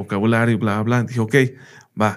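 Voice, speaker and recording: Fairly low male speech, very cleanly recorded against a silent background. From United States. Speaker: teacher. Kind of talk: casual interview chat.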